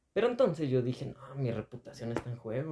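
In an ordinary speaking voice, a man talks at a fairly quick pace. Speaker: podcast host. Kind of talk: casual chat.

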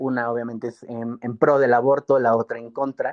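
This man has a plain, everyday voice at a medium pitch, speaking at a fairly quick pace. The sound is dry and close with no echo, over a quiet background. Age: 20s. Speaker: youth political organizer and law student. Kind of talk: interview.

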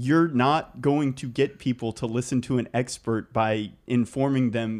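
A man speaks with a medium pitch in a normal speaking voice. His pace is fairly slow and his intonation fairly even. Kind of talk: casual conversation.

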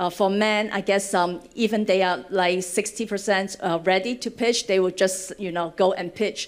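In a Cantonese accent, a woman speaks with fairly even intonation. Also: medium pitch for a woman, fairly slow pace. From Hong Kong. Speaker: venture fund director. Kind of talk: panel discussion. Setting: stage with audience.

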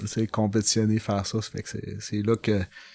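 In a Saguenay–Lac-Saint-Jean accent, a man speaks at a fairly slow pace with fairly low pitch. The recording is very clean, with a silent background. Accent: Québécois French, Saguenay–Lac-Saint-Jean. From Quebec, Lac-Saint-Jean. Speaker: amateur mountain bike racer. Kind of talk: casual chat. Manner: halting, many repetitions.

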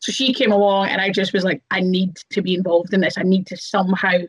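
A woman with a Scottish accent speaks at a fairly quick pace and medium pitch, sounding somewhat breathy. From Scotland. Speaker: professional wrestler. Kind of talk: casual chat.

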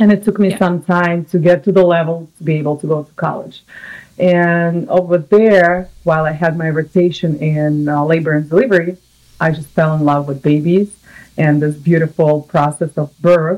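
With a Russian accent, a woman speaks in a fairly low pitch. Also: moderate pace. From Russia (Samara). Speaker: nurse. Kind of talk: casual interview. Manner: animated.

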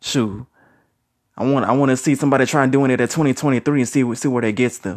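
A man talks at a very fast pace with a medium pitch and fairly even intonation on a very clean recording with a silent background. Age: 30s. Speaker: youtuber sharing opinions. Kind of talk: solo monologue vlog. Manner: casual with many fillers.

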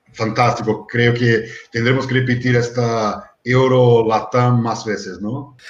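A man talks in a monotone with flat intonation. His voice is somewhat breathy. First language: Portuguese (speaking Spanish). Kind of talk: panel discussion moderating.

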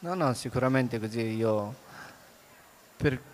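In a medium register, a man talks fairly slowly. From Afghanistan. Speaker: author. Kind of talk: onstage book interview. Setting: stage with audience.

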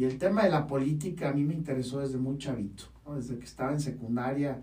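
A man's medium-pitched voice with a dark, mellow tone, somewhat breathy, with fairly even intonation at a moderate pace and audible room echo. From Baja California, Mexico. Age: 30s. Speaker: podcast host and university rector. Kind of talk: podcast monologue.

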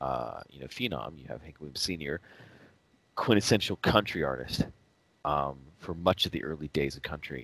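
A man speaks in a very deep, low voice with vocal fry and lively intonation. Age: 40s. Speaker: podcast co-host. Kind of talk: casual chat.

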